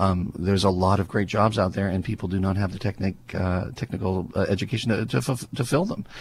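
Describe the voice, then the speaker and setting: The voice is somewhat breathy, moving at a fairly quick pace with ordinary pitch variation and hardly any pauses. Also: man, fairly low pitch for a man. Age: 50s. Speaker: university media faculty. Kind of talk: casual chat.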